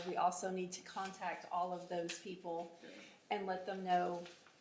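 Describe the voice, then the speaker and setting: A woman speaks at a moderate pace in a medium pitch. Noticeable background noise and audible room echo surround her voice. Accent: American. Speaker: city economic development staff running the meeting. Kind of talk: public meeting.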